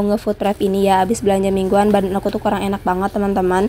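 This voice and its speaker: A woman talks at a very fast pace in a dark, mellow tone. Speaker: housewife vlogger. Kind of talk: vlog voiceover. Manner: casual chatty.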